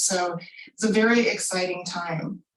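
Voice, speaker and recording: This woman talks at a moderate pace with an American accent, her pitch medium. It is an unremarkable speaking voice with fairly even intonation. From US Mid-Atlantic, southern Maryland. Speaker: pharmaceutical scientist. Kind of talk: career talk.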